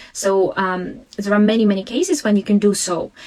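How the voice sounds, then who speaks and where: A woman speaks at a fairly quick pace with a Russian accent, her pitch medium and her intonation fairly even. Noticeable background noise runs behind her. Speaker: language teacher and education consultant. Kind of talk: live webinar Q&A. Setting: live stream. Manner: halting.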